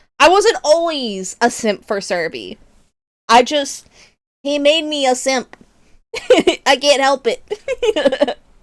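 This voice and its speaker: A woman's high voice with very wide pitch swings. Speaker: VTuber streamer. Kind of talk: casual gaming livestream chat. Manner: expressive, emphatic delivery; halting, repeats words.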